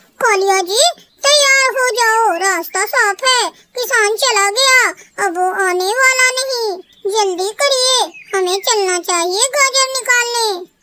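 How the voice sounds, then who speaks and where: This cartoonish character voice has an extremely high pitch and moves at a very slow pace. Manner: sweet-talking, self-indulgent.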